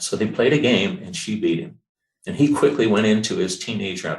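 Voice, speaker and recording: With pitch that swings very widely, a man talks in a somewhat breathy voice at a moderate pace. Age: 70s. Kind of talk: presentation with personal testimony. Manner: halting, with frequent fillers.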